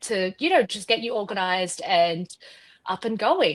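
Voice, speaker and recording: A woman's bright, sharp tone in an Australian accent, at a moderate pace. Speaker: quilt designer. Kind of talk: tutorial.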